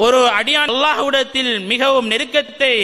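A man uses a raised, projected voice at an extremely high pitch with ordinary pitch variation. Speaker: Islamic scholar giving a sermon. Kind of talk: religious sermon (bayan). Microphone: handheld.

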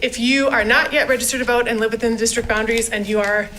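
A woman races along at a very fast pace in a fairly high voice with fairly even intonation, noticeable noise behind her. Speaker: school district communications staff. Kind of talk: presentation at board meeting. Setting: school board meeting.

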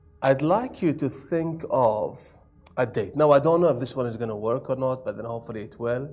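A man talks while faint music sits in the background. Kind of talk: performance patter. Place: studio. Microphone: lapel.

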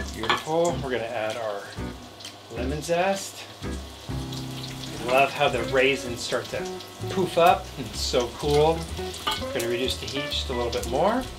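Music can be heard behind the voice. The delivery is fairly slow. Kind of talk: cooking tutorial. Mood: upbeat, enthusiastic. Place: kitchen.

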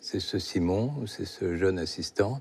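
This man has a dark, mellow tone and lively intonation. He speaks at a very slow pace. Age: 70s. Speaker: novelist; guest. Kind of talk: interview. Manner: halting. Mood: reflective, serious topic of death. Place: studio. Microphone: lapel.

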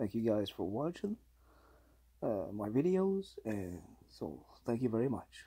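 Against a quiet background, a man speaks very slowly in a dark, mellow tone. His somewhat breathy voice shows very wide pitch swings. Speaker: hobby vlogger. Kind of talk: casual talk to camera. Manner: hesitant, halting. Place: home room. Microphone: phone near.

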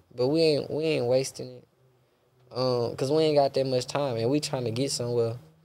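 A man in a Houston accent speaks at a moderate pace with ordinary pitch variation. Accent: Southern US (Houston). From Texas. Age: 20s. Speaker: podcast guest. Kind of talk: casual interview chat. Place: studio. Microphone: studio mic.

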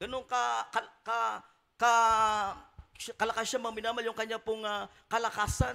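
A raised, projected voice, bright and sharp in tone and animated, at a moderate pace. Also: man. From Philippines. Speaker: preacher. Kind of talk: sermon. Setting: church. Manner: animated, exhortative, call-and-response with congregation. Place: church. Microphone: handheld.

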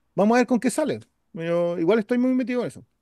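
Over a quiet background, a man with a Chilean accent and a dark, mellow tone speaks with lively intonation in a dry sound with no echo. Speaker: podcast co-host. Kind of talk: casual chat. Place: home room. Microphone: webcam.

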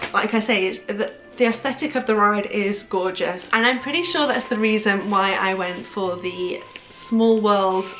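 A woman speaks at a moderate pace with ordinary pitch variation, faint music playing behind her. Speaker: haul vlogger. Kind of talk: casual vlog chat. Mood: cheerful, enthusiastic. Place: home room.

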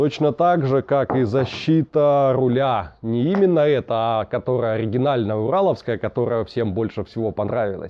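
This man talks at a moderate pace with hardly any pauses. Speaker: motorcycle vlogger. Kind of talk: casual vlog chat. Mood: relaxed, cheerful. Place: garage.

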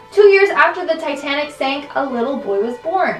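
Faint music plays behind a woman who speaks at a fairly quick pace, with room echo audible. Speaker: countdown video host. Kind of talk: commentary. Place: home room.

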